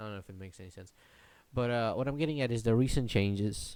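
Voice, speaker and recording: There is a Polish accent in this man's fairly low voice. His pitch moves in an ordinary way. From Poland. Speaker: YouTuber podcaster. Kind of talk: solo podcast rant. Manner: halting, many repetitions.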